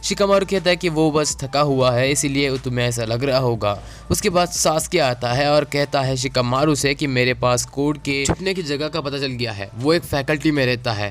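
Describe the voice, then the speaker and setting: Against noticeable background noise, a man talks at a moderate pace with ordinary pitch variation and hardly any pauses. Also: fairly high pitch for a man. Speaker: anime youtuber. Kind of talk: episode recap narration. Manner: casual Hinglish code-switching.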